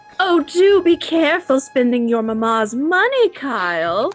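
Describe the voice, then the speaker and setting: A put-on, female-sounding character voice, high in pitch, with very wide pitch swings at a moderate pace. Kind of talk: formal, service-like. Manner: overly polite, sugary.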